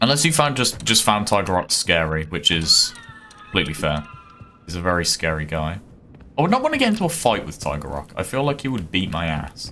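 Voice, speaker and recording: A man with a Birmingham accent speaks at a very deep, low pitch and a fairly quick pace. His pitch swings very widely over music in the background. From Birmingham, England. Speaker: gaming streamer. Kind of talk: live gameplay stream chat. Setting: live stream. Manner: casual, hesitant with fillers.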